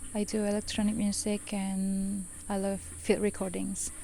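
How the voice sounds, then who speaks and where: In an Indonesian accent, a woman speaks at a medium pitch. Her pace is fairly slow. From Indonesia, Medan, North Sumatra. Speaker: composer and electronic musician. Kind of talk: interview monologue. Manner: hesitant, many fillers.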